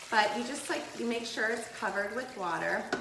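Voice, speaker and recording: At a moderate pace, a woman talks in a fairly high pitch amid audible room echo and noticeable background noise. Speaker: health and detox coach. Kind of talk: live cooking tutorial. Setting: live video in her kitchen. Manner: casual, chatty.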